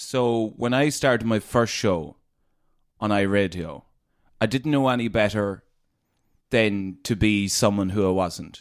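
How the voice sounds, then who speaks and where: A man with a northwest Irish accent at a very slow pace, on a very clean recording over a silent background. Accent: Irish, northwest rural. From Leitrim, Ireland. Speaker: radio presenter. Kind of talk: casual interview chat.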